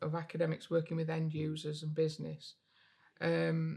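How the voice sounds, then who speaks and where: A woman with a northern English accent at a moderate pace. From northern England, Derbyshire (Chesterfield). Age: 60s. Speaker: physics professor and university innovation leader. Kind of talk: podcast interview. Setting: on location interview set. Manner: hesitant, many fillers and repetitions.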